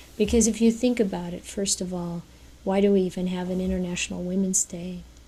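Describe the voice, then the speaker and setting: Talking at a very fast pace, a woman has a medium pitch and a dark, mellow tone. Her voice is somewhat breathy and her intonation monotone and flat. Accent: American. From United States. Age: 60s. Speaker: speaker at a Buddhist women's event. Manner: halting.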